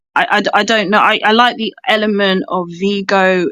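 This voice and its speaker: In a British accent, a woman speaks at a medium pitch with fairly even intonation, the sound dry and close with no echo. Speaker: film fan participant. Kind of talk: casual chat. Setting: audio chat room.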